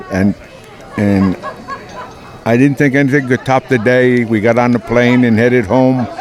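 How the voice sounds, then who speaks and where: Music plays in the background. The speaker talks at a moderate pace with fairly even intonation. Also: man. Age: 70s. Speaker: war veteran. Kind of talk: testimony.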